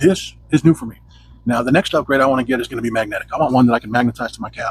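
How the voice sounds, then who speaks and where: Noticeable noise sits in the background. The talking moves very fast. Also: man. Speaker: tech reviewer. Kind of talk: tutorial. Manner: casual.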